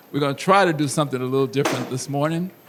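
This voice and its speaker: A man keeps his intonation fairly even against noticeable background noise. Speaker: school superintendent. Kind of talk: address to parents at a school meeting. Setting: meeting room with live audience.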